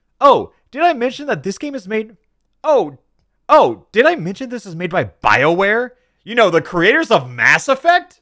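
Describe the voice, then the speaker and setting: In a very clean recording with a silent background, a man uses a raised, projected voice at an extremely high pitch, with a bright, sharp tone, very wide pitch swings, big swings in loudness and a moderate pace. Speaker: YouTuber and streamer. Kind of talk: recording video voiceover script. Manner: repeating and restarting lines.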